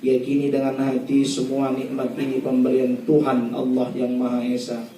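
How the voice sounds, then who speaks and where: Over noticeable background noise and audible room echo, a man speaks at medium pitch in a monotone, flat delivery, fairly slowly and with hardly any pauses. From North Sumatra, Indonesia (Batak region). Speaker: Islamic preacher. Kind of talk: religious wedding sermon.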